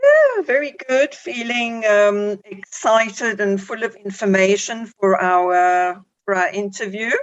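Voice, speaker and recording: Speaking with a South African accent, a woman uses a medium pitch and fairly even intonation. Her pace is very slow, yet she leaves hardly any pauses. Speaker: psychologist. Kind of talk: radio interview. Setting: radio show.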